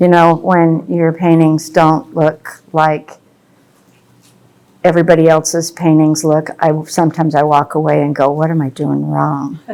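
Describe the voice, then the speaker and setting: At a fairly slow pace, a woman with a very deep, low pitch speaks in a dark, mellow tone with monotone, flat intonation. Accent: American. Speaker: landscape painter. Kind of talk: painting demonstration. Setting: gallery with live audience. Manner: soft-spoken.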